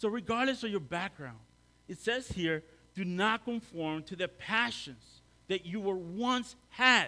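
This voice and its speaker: Raised and projected, the voice takes a fairly slow pace and makes very wide pitch swings. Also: man. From El Salvador. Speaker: lay preacher and academic. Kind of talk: sermon. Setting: church.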